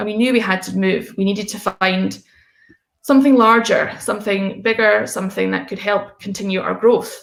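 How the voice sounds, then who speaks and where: A woman talks at a moderate pace. She speaks in a Scottish accent. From Scotland, Fife. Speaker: coffee roastery founder. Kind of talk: conference talk.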